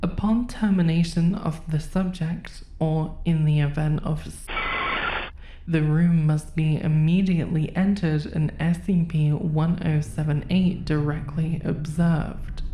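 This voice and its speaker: A woman with a very deep, low pitch speaks at a fairly slow pace and very even loudness. Her intonation is fairly even, with noticeable background noise. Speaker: horror narrator. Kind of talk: SCP document readout.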